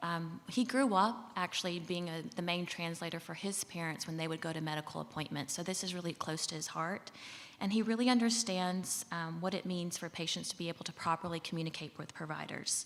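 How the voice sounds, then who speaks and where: With hardly any pauses, a woman talks at a fairly quick pace in a fairly low voice with ordinary pitch variation. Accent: Southern US. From Mississippi, US South. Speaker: government civil rights official. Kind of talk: conference presentation. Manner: casual, with frequent fillers.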